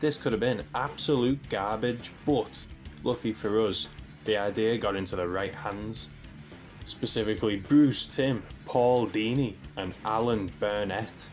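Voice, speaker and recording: Over music in the background, a man with a fairly low pitch talks at a fairly slow pace with ordinary pitch variation. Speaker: comic book reviewer. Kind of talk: video essay commentary. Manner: quieter than usual.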